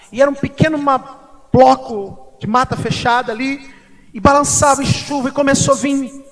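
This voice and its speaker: A man at an extremely high pitch with noticeable background noise. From Brazil, Mato Grosso do Sul (Corumbá). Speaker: pastor. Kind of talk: sermon with personal testimony. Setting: church service.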